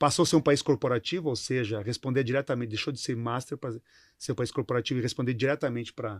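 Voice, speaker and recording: Recorded very cleanly against a silent background, with a dry, close sound and no echo, a man talks at a fairly quick pace at a medium pitch with ordinary variation. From southern Brazil, Rio Grande do Sul. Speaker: company CEO. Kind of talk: interview. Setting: studio panel. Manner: halting, repeats words.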